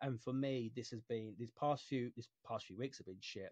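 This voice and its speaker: This is a man speaking. His pitch is medium. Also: dry, close sound with no echo. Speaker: podcast host. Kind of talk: casual chat. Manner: monotone.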